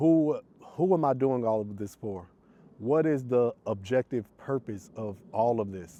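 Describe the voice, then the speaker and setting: A man with an American accent speaks in a normal speaking voice. His pitch is medium and his intonation lively. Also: fairly slow pace. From US South, Atlanta, Georgia. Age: 30s. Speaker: vlogger. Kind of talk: personal monologue to camera.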